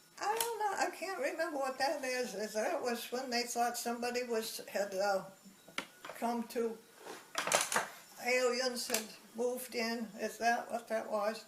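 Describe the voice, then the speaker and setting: Amid noticeable background noise and audible room echo, a woman with a high pitch speaks at a fairly slow pace, with ordinary pitch variation and long, frequent pauses. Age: 80s+. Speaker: elderly woman recounting her life. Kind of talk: life story interview. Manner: halting.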